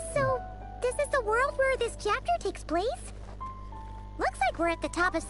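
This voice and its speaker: A cartoonish character voice moves at a moderate pace with long, frequent pauses over loud music in the background. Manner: lively, cheeky.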